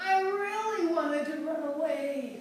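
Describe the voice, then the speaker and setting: A woman's dramatic tone with ordinary pitch variation, amid noticeable background noise. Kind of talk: author reading of her own book. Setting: exercising while reading, home recording with poor sound. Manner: dramatic, expressive reading.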